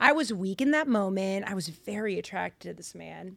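On a very clean recording with a silent background, a woman with an American accent speaks at medium pitch in a bright, sharp tone. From Lynn, Massachusetts (Boston area), US. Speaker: actor and Bible podcast host. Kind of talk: casual chat.

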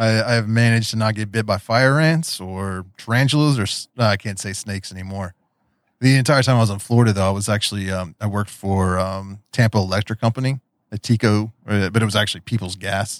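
On a very clean recording with a silent background and a dry, close sound with no echo, a man with an Appalachian accent speaks at a fairly quick pace with a fairly low pitch and ordinary pitch variation. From West Virginia, Appalachia. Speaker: podcast host. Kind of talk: casual interview chat.

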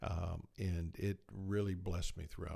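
Vocal fry runs through a man's dark, mellow tone. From South Georgia. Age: 60s. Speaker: podcast co-host, healthcare executive. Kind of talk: casual interview-style podcast chat.

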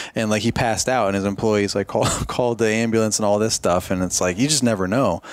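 A man speaks at a very fast pace in a fairly low voice. His intonation is fairly even, and background noise is noticeable. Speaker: podcast host. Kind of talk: casual chat. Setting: in person at expo.

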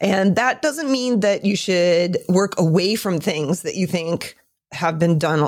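On a very clean recording with a silent background, a woman's voice moves through very wide pitch swings. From US Midwest (Michigan) and California. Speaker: photographer and photography educator. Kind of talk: interview. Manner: hesitant, many fillers.

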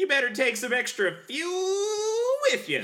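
An extremely high-pitched, put-on character voice moves at a fairly slow pace with very wide pitch swings. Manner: gruff radio-driver delivery.

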